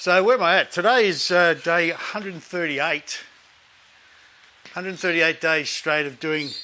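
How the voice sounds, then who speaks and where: A high-pitched man at a moderate pace, with ordinary pitch variation, long and frequent pauses, big swings in loudness, and noticeable background noise. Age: 50s. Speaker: fitness vlogger. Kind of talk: casual talk to camera. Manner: relaxed, conversational.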